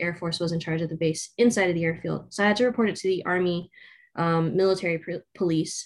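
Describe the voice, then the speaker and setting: In a plain, everyday voice, a woman with fairly low pitch talks at a fairly quick pace. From Southern California. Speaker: air force officer, civil engineer. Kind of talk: interview.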